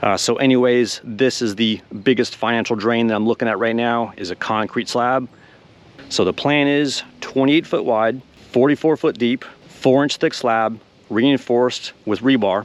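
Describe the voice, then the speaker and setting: In a plain, everyday voice, a man talks at medium pitch and a moderate pace with fairly even intonation. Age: 40s. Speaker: car hobbyist YouTuber. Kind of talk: casual vlog.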